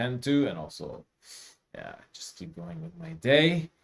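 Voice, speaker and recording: This is a man speaking with a non-native accent. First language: not English. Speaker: music producer and teacher. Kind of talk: live stream tutorial. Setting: live stream from home studio. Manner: casual, halting with fillers.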